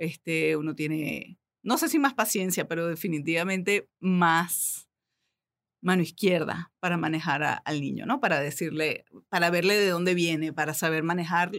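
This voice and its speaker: A woman's plain, everyday voice, fairly low in pitch, with ordinary pitch variation, a moderate pace, and a very clean recording over a silent background. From Venezuela. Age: 40s. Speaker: belly dancer and media communicator. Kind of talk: interview. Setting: studio.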